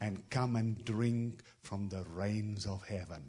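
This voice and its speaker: Somewhat breathy and dark and mellow in tone, a man speaks at a fairly low pitch and a very slow pace with fairly even intonation over a quiet background. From South Africa. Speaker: travelling prophetic minister. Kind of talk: prophetic word in a church service. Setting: church with congregation.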